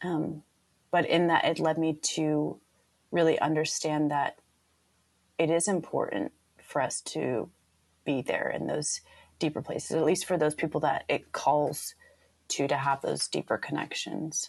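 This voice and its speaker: A woman talks at a fairly slow pace, leaving long, frequent pauses. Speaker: healer and coach. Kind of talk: casual interview chat.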